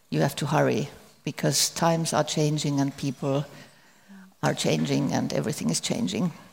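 A woman with a Finnish accent speaks with vocal fry. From Finland. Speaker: author.

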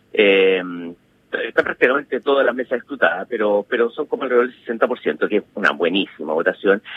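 Medium in pitch, a man's voice moves at a fairly quick pace with lively intonation. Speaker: political analyst. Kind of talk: interview. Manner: halting.

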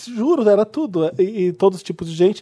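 A Brazilian accent at a moderate pace, over a quiet background. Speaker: podcast host. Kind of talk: casual chat. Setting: stage with audience.

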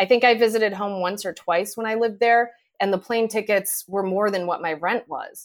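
Over a silent background in a very clean recording, a woman with an American accent talks at a fairly quick pace, with medium pitch and fairly even intonation. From Connecticut (Manchester, near Hartford). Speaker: TV news reporter. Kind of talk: casual interview.

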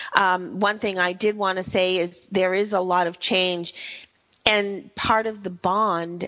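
Fairly slow and fairly even in intonation, a woman speaks at a medium pitch. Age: 60s. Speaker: radio show host. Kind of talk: scripted show intro/outro; casual talk radio interview. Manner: halting, many fillers.

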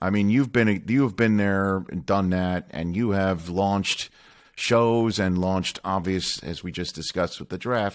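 On a very clean recording with a silent background, a man talks at a fairly slow pace in a fairly low pitch with ordinary pitch variation. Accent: American. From New York. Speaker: podcast host and sportscaster. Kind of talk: casual interview chat.

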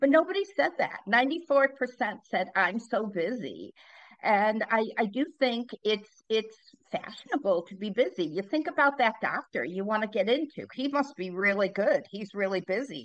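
A woman speaks in an ordinary speaking voice with a fairly high pitch. Her intonation is lively and her pace moderate. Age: 60s. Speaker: leadership speaker and author. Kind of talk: interview conversation.

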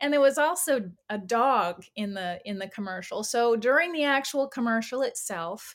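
In an unremarkable speaking voice, a woman with an American accent talks at a fairly slow pace with lively intonation on a very clean recording with a silent background. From California. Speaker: actor. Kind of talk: interview.

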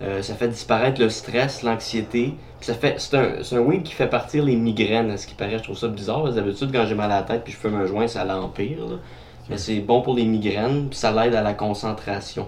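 A man in a Quebec accent at medium pitch and a moderate pace, fairly even intonation, with audible room echo. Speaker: podcast host. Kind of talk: casual chat.

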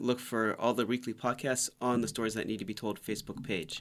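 A man with an American accent talks very fast at a medium pitch. His intonation is monotone and flat, and the recording is very clean with a silent background. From Orlando, Florida. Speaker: stock tips guest. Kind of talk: casual chat. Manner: short choppy sentences.

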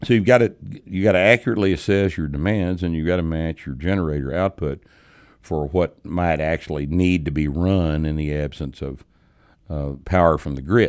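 With a Texas accent, a man speaks at a very deep, low pitch. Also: very clean recording, silent background. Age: 60s. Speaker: podcast host and strength coach. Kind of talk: casual chat. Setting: studio.

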